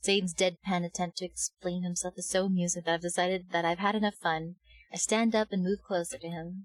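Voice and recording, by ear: The speaker's intonation stays fairly even while reading aloud in a natural voice.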